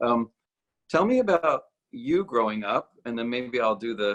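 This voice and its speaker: Recorded dry and close with no echo, a man speaks at a fairly slow pace. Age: 50s. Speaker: ballet company artistic director. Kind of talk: casual conversation.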